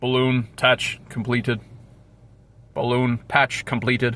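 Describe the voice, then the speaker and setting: This is a put-on character voice pitched low-to-middle. It moves at a fairly slow pace with monotone, flat intonation. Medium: solo performance. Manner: monotone, robotic.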